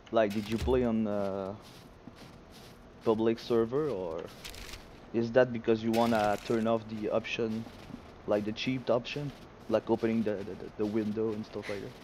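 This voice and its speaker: This man speaks in a medium pitch at a moderate pace, his intonation monotone and flat. Long pauses come often. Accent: strong Quebec. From Quebec, Quebec City. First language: French. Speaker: gaming streamer. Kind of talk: live gameplay stream commentary. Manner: halting, frequent repetitions and fillers.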